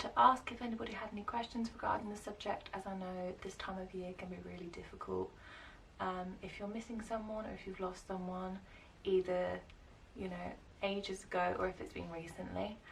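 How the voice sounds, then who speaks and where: Against noticeable background noise, a woman talks at a fairly quick pace and medium pitch with fairly even intonation. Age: 20s. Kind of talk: casual talk to camera.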